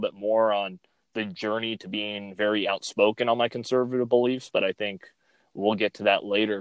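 A man with a medium-pitched voice and a Californian accent talks at a fairly quick pace. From Fresno, California. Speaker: podcast host. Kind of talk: casual political chat. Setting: remote recording, in his car.

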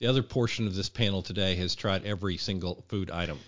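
Here is a man with a plain, everyday voice, pitched fairly low. He talks at a fairly quick pace with ordinary pitch variation. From US South, Arkansas. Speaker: food blogger. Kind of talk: casual chat.

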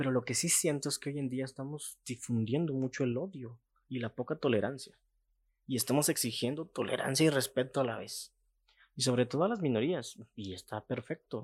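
At a moderate pace and medium pitch, a man with an unremarkable speaking voice and ordinary pitch variation is heard on a very clean recording with a silent background. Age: 20s. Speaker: podcast host. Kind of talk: opinion monologue.

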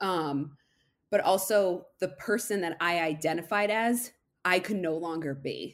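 A plain, everyday voice with an American accent and ordinary pitch variation. The recording is very clean, with a silent background. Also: woman, medium pitch for a woman, fairly slow pace. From Massachusetts. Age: 20s. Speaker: podcast guest sharing recovery story. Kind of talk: casual interview.

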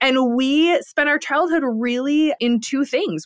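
A woman with an American accent against a quiet background. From US Midwest, Lansing, Michigan. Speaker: entrepreneur and business professor. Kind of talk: casual interview chat.

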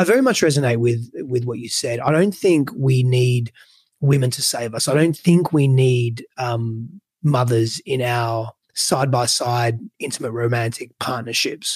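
This man talks at a fairly slow pace with a somewhat breathy voice, medium pitch and ordinary pitch variation. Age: 30s. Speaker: relationship coach. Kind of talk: interview.

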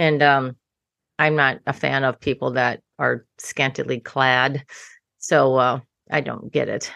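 A woman talks at a very slow pace in a very deep, low pitch with a bright, sharp tone and monotone, flat intonation. The sound is dry and close with no echo, against a quiet background. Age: 60s. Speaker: designer and general contractor. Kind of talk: interview.

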